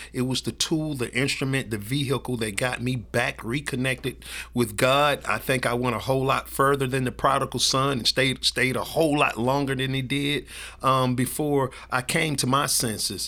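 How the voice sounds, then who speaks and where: With a Southern US accent, a man speaks at a moderate pace and medium pitch in a bright, sharp tone, his intonation flat and monotone. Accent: Southern US (Georgia). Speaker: ministry director. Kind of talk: testimony. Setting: office at outreach center.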